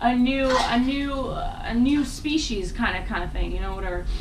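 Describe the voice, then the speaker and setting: With noticeable background noise and audible room echo, a woman speaks at a high pitch. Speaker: spiritual vlogger. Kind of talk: casual monologue. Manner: fast; animated.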